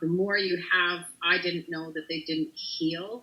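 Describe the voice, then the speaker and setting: A woman's fairly low voice at a fairly slow pace. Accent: Canadian. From Canada. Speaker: country music singer. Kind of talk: interview. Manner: voice sometimes sticks when overloaded.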